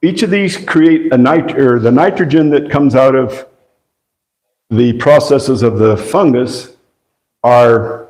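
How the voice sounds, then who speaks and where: A man with a dark, mellow tone speaks at a very slow pace. His pitch varies in an ordinary way, and the room echo is audible. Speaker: agroforestry presenter. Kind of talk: lecture.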